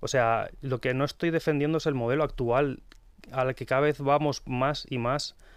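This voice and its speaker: A man talks at a moderate pace with an unremarkable speaking voice. His medium pitch holds fairly even intonation. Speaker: pharmacist and book author. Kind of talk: radio interview. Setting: radio studio.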